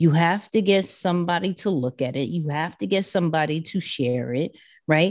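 Speaking in a New York accent at a moderate pace, a woman uses a fairly low pitch with ordinary pitch variation against a quiet background. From New York City (Queens). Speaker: social media and personal branding expert. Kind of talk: podcast interview.

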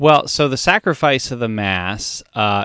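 Moderately paced, lively speech from a man with an American accent, dry and close with no echo over a quiet background. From US, Maryland (Columbia). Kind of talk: casual chat.

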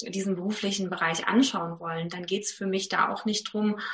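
A woman at medium pitch with an ordinary speaking voice and fairly even intonation. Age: 30s. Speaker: actress, presenter and voice coach. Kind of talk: casual interview chat.

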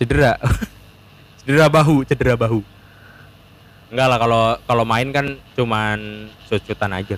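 A man speaks at a moderate pace and medium pitch with ordinary pitch variation. He leaves long, frequent pauses, and his loudness swings a lot. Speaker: student guest. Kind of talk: casual chat.

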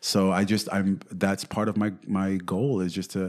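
A man with a New York accent on a very clean recording with a silent background. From New York City. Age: 30s. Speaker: real estate agent. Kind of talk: interview. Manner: animated.

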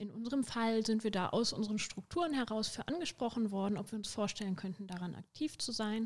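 This is an ordinary speaking voice from a woman at medium pitch. She moves at a fairly quick pace with ordinary pitch variation. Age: 20s. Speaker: student and union youth activist. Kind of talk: casual chat.

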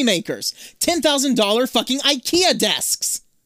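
Sounding dry and close with no echo in a very clean recording with a silent background, a man speaks at an extremely high pitch with a bright, sharp tone and ordinary pitch variation. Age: 30s. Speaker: podcast co-host. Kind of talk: casual chat. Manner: animated.

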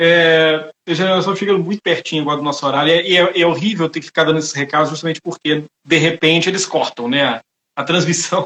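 Words come out at a very fast pace, carried on fairly even intonation. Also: man, high pitch for a man. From Brazil, Itabira (Minas Gerais). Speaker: lawyer, webinar host. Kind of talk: live online talk, interview. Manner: halting, many fillers.

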